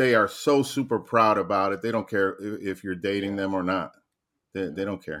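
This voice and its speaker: On a very clean recording with a silent background, a man in an unremarkable speaking voice talks at a moderate pace, his fairly low pitch showing ordinary variation. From New Jersey. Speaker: guest panelist. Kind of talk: casual chat.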